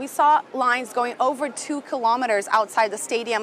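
A woman speaks in a high voice with ordinary pitch variation over noticeable background noise. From Brazil. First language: Portuguese. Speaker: news correspondent. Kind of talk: live report. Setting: outdoors at cemetery.

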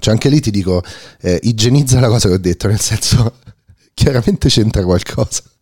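A quiet man's voice with lively intonation at a fairly quick pace. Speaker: podcast host. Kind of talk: casual interview conversation. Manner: very quiet, low voice.

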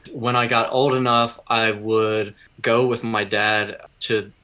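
With an American accent, a man talks at a medium pitch in a bright, sharp tone. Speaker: musician. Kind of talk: casual interview.

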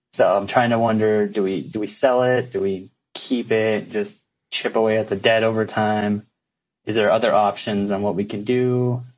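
Over music in the background, a man talks at a moderate pace in a fairly low, monotone voice with flat intonation. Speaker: first-time real estate investor. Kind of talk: advice call-in Q&A.

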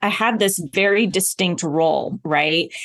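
A normal speaking voice with an American accent. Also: woman, quiet background. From US South, Oklahoma. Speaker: TV journalist and speaker. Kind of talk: interview conversation.

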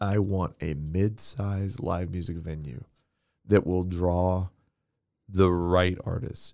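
With an American accent, a man speaks very slowly in a very deep, low voice of dark, mellow tone, with ordinary pitch variation and long, frequent pauses. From Texas. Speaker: podcast guest. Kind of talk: casual chat.

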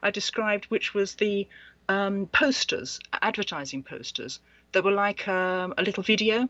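A woman with an English accent, medium pitch, ordinary pitch variation and a moderate pace. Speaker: author and past life researcher. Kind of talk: interview. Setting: Skype call.

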